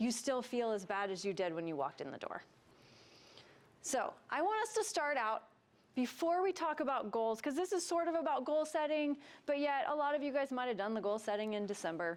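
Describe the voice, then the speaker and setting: A woman speaks at a high pitch and a fairly quick pace. Her pitch swings very widely. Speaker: wellness coach and workshop presenter. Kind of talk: workshop presentation. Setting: stage with live audience. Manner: soft-spoken.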